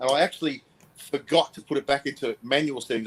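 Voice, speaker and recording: Very fast delivery from a man in an Australian accent. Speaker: motorcycle vlogger, co-host. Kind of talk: casual chat. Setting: live stream.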